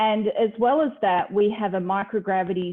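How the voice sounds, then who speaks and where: At a moderate pace, a woman speaks with a slight Australian accent. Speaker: university lecturer, space program trainee. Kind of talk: informal talk at online event.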